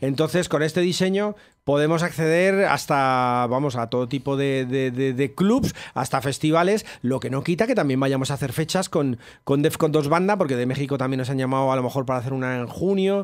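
A man at a fairly high pitch and a fairly quick pace, over a quiet background. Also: ordinary pitch variation. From Spain. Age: 50s. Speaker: rap-rock musician and writer; guest. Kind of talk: interview; interview answer. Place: studio. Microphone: studio mic.

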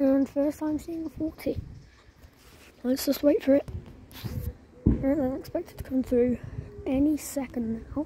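Recorded dry with no echo and light background noise, a woman with a high voice speaks at a moderate pace with fairly even intonation and long, frequent pauses. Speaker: trainspotter vlogger. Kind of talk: casual commentary. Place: station.

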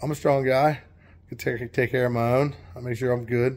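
A man at a moderate pace, flat and monotone in intonation. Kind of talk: casual vlog chat. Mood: relaxed, amused. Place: garage. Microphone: phone near.

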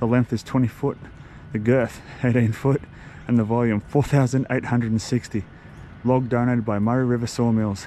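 Over light background noise, a man speaks at a moderate pace. His intonation is fairly even, and the sound is dry with no echo. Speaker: vlogger. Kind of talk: casual vlog chat. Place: street. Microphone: phone near.

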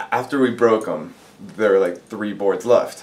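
A male speaker, moderate in pace. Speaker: interviewee. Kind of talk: interview answer. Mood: amused, relaxed. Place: classroom.

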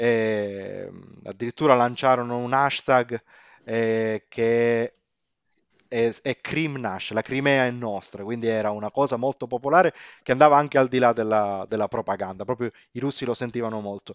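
At a moderate pace, a man with a plain, everyday voice speaks in a fairly even intonation. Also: medium pitch for a man. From Sicily (Pozzallo, Ragusa). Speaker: language teacher and corporate trainer. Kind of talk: casual interview chat.

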